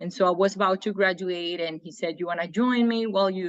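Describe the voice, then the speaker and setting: At a fairly quick pace, a woman speaks with a Spanish accent and a medium pitch. The sound is dry and close, with no echo. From Colombia. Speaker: engineer and trainer. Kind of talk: interview.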